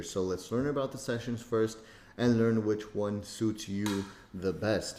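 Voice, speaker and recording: Using an unremarkable speaking voice, a man keeps a moderate pace at a mid-range pitch. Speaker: trading course instructor. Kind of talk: tutorial. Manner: casual, filler-heavy.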